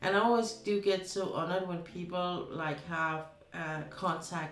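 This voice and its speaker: Amid audible room echo and noticeable background noise, a woman with a Danish accent speaks at a fairly slow pace in a fairly low pitch. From Denmark. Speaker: streamer. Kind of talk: casual chat. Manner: halting.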